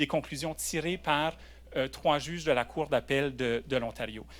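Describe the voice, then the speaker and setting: Vocal fry runs through this man's voice. He talks at a moderate pace. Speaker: lawyer. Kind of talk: conference panel talk. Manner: hesitant, many fillers and repetitions; switches between French and English.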